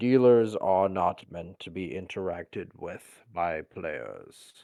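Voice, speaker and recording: A man puts on a character voice with a very deep, low pitch at a fairly slow pace. His loudness swings widely against a quiet background. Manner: monotone, flat.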